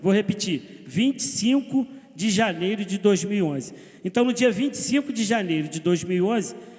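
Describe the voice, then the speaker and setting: Speaking at a moderate pace, a man uses a high pitch and lively intonation. Noticeable background noise is present. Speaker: city councillor. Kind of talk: council session speech. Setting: municipal council chamber. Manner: hesitant fillers.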